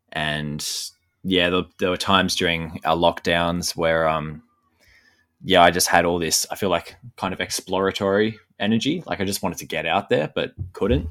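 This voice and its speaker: Recorded very cleanly against a silent background, the speaker talks at a moderate pace with an Australian accent and fairly even intonation. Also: man, very deep, low pitch for a man. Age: 20s. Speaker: landscape photographer. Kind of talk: interview. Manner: hesitant, many fillers; thoughtful.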